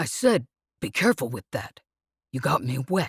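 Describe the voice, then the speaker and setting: A growling, put-on character voice at a low-to-middle pitch and a moderate pace. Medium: read story. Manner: blustering but uneasy.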